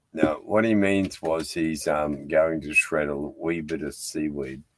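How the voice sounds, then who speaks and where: A man speaks in a very deep, low voice with a strong Australian accent. His intonation is fairly even and his pace fairly slow. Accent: broad Australian. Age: 60s. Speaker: live stream host, sailor. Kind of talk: casual chat. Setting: aboard a boat tied to a jetty.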